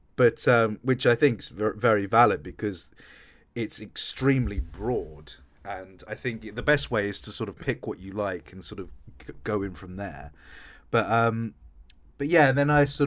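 A man with an Essex accent speaks in a fairly low pitch with lively intonation and big swings in loudness on a very clean recording with a silent background. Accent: southern English (Essex). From Essex, England. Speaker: voice actor and audiobook narrator. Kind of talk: casual interview.

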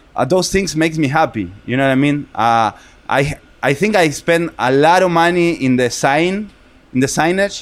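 A man's fairly high voice with ordinary pitch variation at a moderate pace. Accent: Argentine. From Argentina, Buenos Aires. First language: Spanish. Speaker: restaurant owner. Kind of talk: casual chat. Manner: animated.

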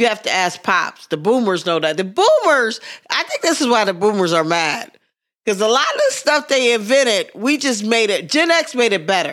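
The speaker has an American accent and an animated tone. The pace is moderate, with very wide pitch swings. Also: woman, fairly high pitch for a woman. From Pittsburgh, US. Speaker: podcast host and comedian. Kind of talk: casual comedic banter. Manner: animated, joking.

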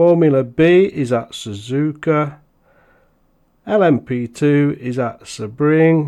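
A man is speaking. He has a British accent. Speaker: podcast host. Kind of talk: casual podcast monologue; reading aloud. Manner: hesitant.

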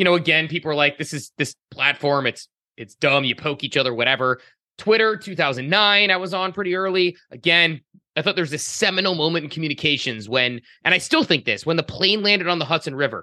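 Bright and sharp in tone, the voice moves at a very fast pace with lively intonation, recorded with a dry, close sound and no echo. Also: man, fairly high pitch for a man. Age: 30s. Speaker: podcast co-host. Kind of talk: casual chat.

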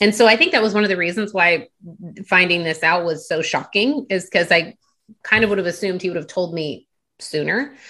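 At a fairly quick pace, a woman with an American accent speaks in a bright, sharp tone at medium pitch with ordinary variation, over a quiet background. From Delaware, US. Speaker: life coach. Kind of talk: interview.

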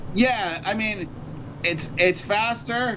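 At a very slow pace, a man raises and projects his high-pitched voice, bright and sharp in tone, with ordinary pitch variation. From Canada, Toronto. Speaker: musician. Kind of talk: casual chat. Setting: video call.

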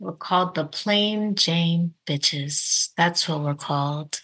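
At a fairly slow pace, a woman talks with an American accent. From Baltimore, Maryland. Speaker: podcast guest. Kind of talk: casual chat.

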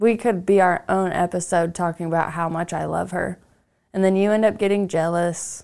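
In a very clean recording with a silent background, a woman with a fairly low pitch speaks at a moderate pace in a monotone, flat intonation. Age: 30s. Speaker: podcast host. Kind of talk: casual chat. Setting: studio.

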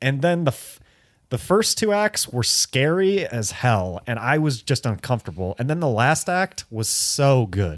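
A man with an American accent speaks at a fairly slow pace, his pitch swinging very widely, on a very clean recording with a silent background. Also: medium pitch for a man, dry, close sound with no echo. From US Midwest (Detroit). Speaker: podcast co-host. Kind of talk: casual chat.

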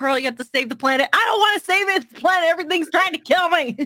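The voice is raised and projected, with lively intonation. The sound is dry and close with no echo, and noticeable background noise can be heard. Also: woman. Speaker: Twitch streamer. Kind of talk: casual chat interview.

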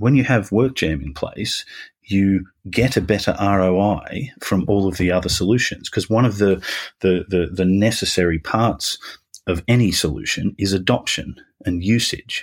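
A man with an Australian accent, fairly low pitch and ordinary pitch variation, at a moderate pace, on a very clean recording with a silent background. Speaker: business executive.

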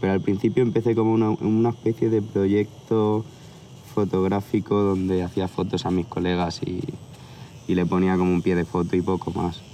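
Using a plain, everyday voice, a man speaks at a moderate pace in a fairly low pitch, with very even loudness and fairly even intonation. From Barcelona area, Spain. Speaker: tattoo artist. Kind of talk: casual chat. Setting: outdoors.

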